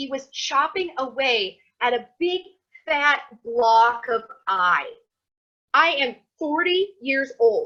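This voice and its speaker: With an American accent, a woman talks in a raised, projected voice that is high-pitched, bright and sharp, swinging very widely in pitch. She leaves long, frequent pauses. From US Midwest, Iowa. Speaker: Torah teacher. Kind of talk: lecture. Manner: animated; casual.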